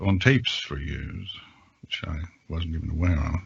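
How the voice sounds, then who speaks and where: A man with a very deep, low voice sounds somewhat breathy and shows ordinary pitch variation. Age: 60s. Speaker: voice narrator with radio and advertising background. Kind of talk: casual podcast chat.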